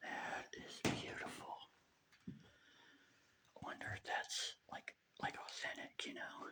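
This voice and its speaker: The whispering moves along at a very slow pace. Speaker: urban explorer vlogger. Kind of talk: walkthrough vlog narration. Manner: hesitant, filler-heavy.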